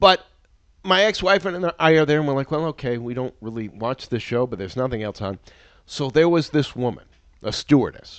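An ordinary speaking voice moves at a fairly quick pace with lively intonation, recorded dry and close with no echo over a quiet background. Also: man, fairly high pitch for a man. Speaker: TV podcast host. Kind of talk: casual banter.

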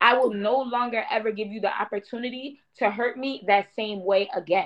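A woman's fairly high-pitched, plain, everyday voice with ordinary pitch variation. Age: 30s. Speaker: podcast co-host. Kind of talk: casual chat.

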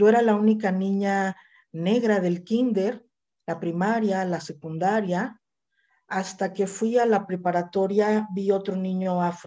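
A woman's dark, mellow voice at medium pitch, fairly slow in pace, with fairly even intonation. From Mexico, Mazatlán, Sinaloa. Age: 50s. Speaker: activist. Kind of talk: interview.

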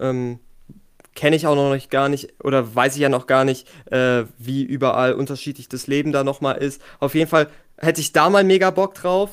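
A man speaks in a normal speaking voice with fairly high pitch. His pace is moderate and his pitch variation ordinary. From Germany. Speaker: podcast guest. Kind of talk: casual chat.

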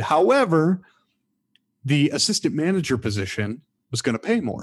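Over a silent background in a very clean recording, a man in an American accent uses an ordinary speaking voice, talking at a fairly quick pace with lively intonation. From Michigan. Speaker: former theme park performer and hotel manager. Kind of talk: casual interview storytelling.

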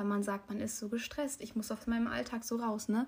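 At a fairly quick pace, the speaker uses a somewhat breathy voice. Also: woman. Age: young. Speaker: podcast co-host. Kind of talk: casual chat.

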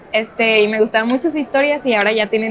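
The woman's fairly high voice moves at a fairly quick pace, with noticeable background noise around it. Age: 20s. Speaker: book video creator and writer. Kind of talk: casual chat. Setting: public place, shopping mall.

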